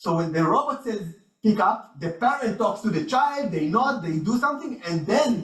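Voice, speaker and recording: A man talks with lively intonation. There is audible room echo. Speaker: researcher. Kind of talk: conference talk. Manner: fast.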